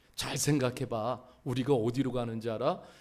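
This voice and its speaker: A man's medium-pitched voice keeps fairly even intonation as he talks at a moderate pace. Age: 60s. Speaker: pastor. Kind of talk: sermon. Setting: church.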